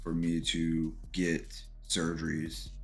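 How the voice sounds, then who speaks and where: Music in the background and audible room echo accompany a man's voice. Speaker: podcast host, military veteran. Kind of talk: personal testimony.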